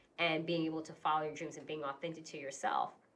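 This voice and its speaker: The woman speaks with an American accent at a fairly low pitch. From New York, Queens. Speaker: podcast co-host. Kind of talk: casual chat. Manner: animated.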